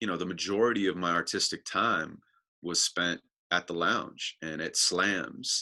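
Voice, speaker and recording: A man's very deep, low pitch with a bright, sharp tone, a fairly slow pace and long, frequent pauses. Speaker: spoken word poet. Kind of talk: interview answer. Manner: casual, reflective.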